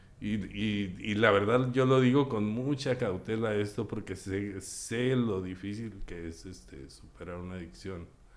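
Over audible room echo, a man talks at a fairly slow pace and a fairly low pitch, with ordinary pitch variation and big swings in loudness. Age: 50s. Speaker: recovering addict and psychologist. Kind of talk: testimony.

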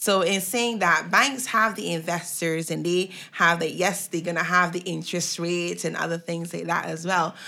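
With a bright, sharp tone and vocal fry, the voice moves at a moderate pace with hardly any pauses and fairly even intonation. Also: woman, fairly low pitch for a woman. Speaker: podcast co-host. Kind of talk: casual conversational podcast.

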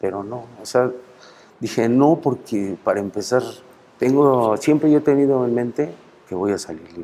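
Speaking at a moderate pace and medium pitch, a man has a dark, mellow tone and lively intonation. His loudness swings widely, and he takes long, frequent pauses. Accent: Mexico City. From Mexico City. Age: 50s. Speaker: prison inmate. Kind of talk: interview.

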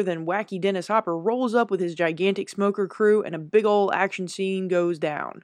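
A woman speaks in an ordinary speaking voice at a medium pitch, with fairly even intonation and a fairly quick pace. There are hardly any pauses, and the background is quiet. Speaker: segment presenter recapping the film. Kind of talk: scripted summary segment.

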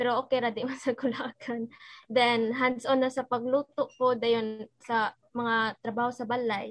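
A woman speaks in a Visayan Filipino accent at a high pitch and a moderate pace, her intonation monotone and flat. The sound is dry and close with no echo, a very clean recording against a silent background. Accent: Filipino (Cebuano) English. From Philippines, Cebu City. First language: Cebuano. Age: young. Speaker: university student. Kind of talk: casual chat.

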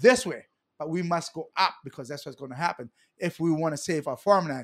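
The speaker has a Hawaiian accent and an animated tone. The pace is fairly quick, on a very clean recording with a silent background. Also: man. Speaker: political candidate and community advocate. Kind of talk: casual chat.

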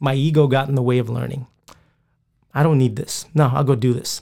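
This man has a fairly high pitch and a dark, mellow tone. He sounds somewhat breathy and keeps a moderate pace. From Philippines, moved to US at nine. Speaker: police officer and jiu-jitsu instructor. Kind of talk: casual interview.

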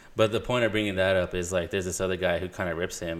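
A man with a very deep, low voice and an American accent speaks in a fairly even tone over a very clean recording with a silent background. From Punjabi Indian family, California. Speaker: video producer. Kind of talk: casual chat.

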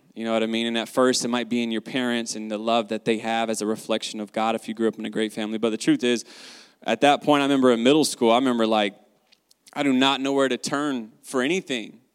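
Heard in a dry, close sound with no echo, a man with a Southern US accent speaks at a very fast pace and a medium pitch. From US South, North Carolina. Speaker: guest sharing faith testimony. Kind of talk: testimony. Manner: animated.

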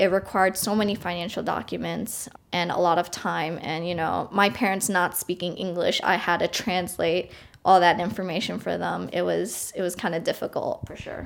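A woman with an American accent speaks at a moderate pace with a fairly low pitch, vocal fry and fairly even intonation. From US Northeast, Long Island, New York. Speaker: college student. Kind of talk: casual interview.

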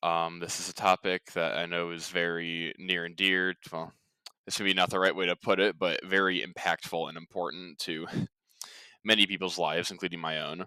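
A man speaks in a very deep, low voice with a flat, monotone delivery. The tone is bright and sharp, and the sound is dry and close with no echo. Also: moderate pace. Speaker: ministry podcast host. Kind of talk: religious podcast talk. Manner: halting, many fillers.

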